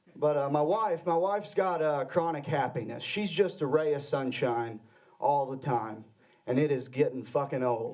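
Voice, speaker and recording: Amid noticeable background noise and audible room echo, a man with an American accent speaks at a moderate pace, his fairly high pitch full of lively intonation. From Arkansas. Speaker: comedian. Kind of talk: stand-up. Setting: stage with audience.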